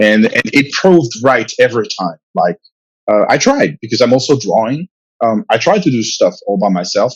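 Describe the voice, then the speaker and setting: A man with a French accent speaks at a moderate pace and medium pitch, using very wide pitch swings, in a dry, close sound with no echo. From France. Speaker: comic book writer and publisher. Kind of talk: interview. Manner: halting, many fillers and repetitions.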